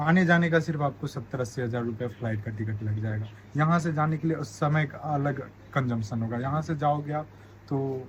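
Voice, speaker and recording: A somewhat breathy voice at a moderate pace with ordinary pitch variation. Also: man, fairly high pitch for a man. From India. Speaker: medical student. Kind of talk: interview.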